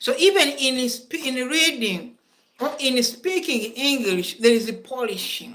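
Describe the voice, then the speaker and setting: Her pitch high and her intonation lively, a woman speaks in a Ugandan accent. She keeps a fairly slow pace. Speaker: school principal and English lecturer. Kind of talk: lecture. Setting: classroom, also streamed online.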